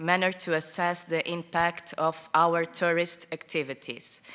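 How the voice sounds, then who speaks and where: A woman with a non-native accent speaks at a fairly slow pace in a fairly low pitch. Noticeable background noise sits behind her. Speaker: tourism project representative. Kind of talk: conference presentation. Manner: halting.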